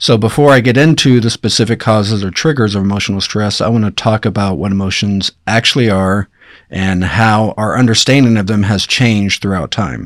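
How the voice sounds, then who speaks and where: In a very clean recording with a silent background, a man with an ordinary speaking voice talks at a fairly quick pace, his fairly low pitch rising and falling in an ordinary way. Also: hardly any pauses. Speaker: doctor. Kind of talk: casual chat.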